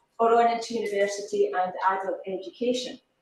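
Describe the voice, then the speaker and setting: A woman talks with a fairly high pitch. Audible room echo surrounds her voice. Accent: strong Scottish. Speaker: education academic. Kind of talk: conference talk. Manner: slow and clear.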